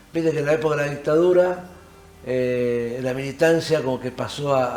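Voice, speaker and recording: Over noticeable background noise, a man talks at a moderate pace. His pitch is fairly high and his intonation fairly even. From Argentina, Hurlingham (Buenos Aires area). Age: 60s. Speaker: actor and theatre teacher. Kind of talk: interview.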